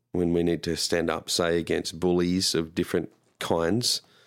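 Very clean and silent in the background, this recording has a man with a very deep, low pitch. He speaks at a fairly slow pace. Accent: Australian. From Australia. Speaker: pastor. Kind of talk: casual chat.

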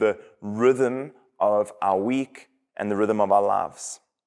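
A man with a South African accent, on a very clean recording against a silent background. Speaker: pastor. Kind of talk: sermon. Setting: church.

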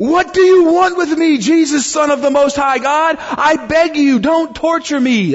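At a moderate pace, a man does a put-on character voice pitched extremely high. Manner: pleading, shouting.

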